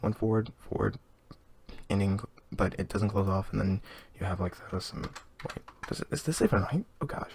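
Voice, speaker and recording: Noticeable background noise sits beneath speech that keeps a moderate pace and has long, frequent pauses. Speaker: game development tutorial maker. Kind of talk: screen-recorded coding tutorial. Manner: casual, rambling.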